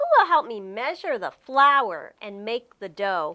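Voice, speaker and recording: A female-sounding, put-on character voice, raised and projected, at a fairly high pitch and a fairly slow pace. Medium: read story. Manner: warm, patient.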